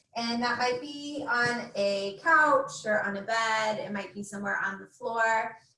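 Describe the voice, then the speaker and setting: Fairly high pitch and ordinary pitch variation in a woman's a plain, everyday voice. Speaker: mindfulness / breathing class instructor. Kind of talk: guided breathing meditation. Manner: slow, calm, soothing, with long pauses.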